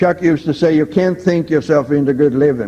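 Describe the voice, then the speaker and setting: At a fairly quick pace, a man with a Swedish accent talks in a fairly high voice with ordinary pitch variation. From Sweden. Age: 70s. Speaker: recovering alcoholic speaker. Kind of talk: recovery testimony talk. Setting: stage with audience. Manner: enthusiastic.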